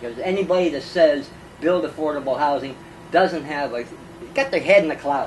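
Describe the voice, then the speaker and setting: There is noticeable background noise as a man with a fairly high voice and ordinary pitch variation pauses often and at length. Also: fairly quick pace. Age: 60s. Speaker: former homeless man, activist. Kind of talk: interview. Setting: at his home.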